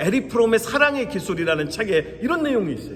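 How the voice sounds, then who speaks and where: A man talks at a very fast pace in a high voice with very wide pitch swings over noticeable background noise. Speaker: pastor. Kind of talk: sermon.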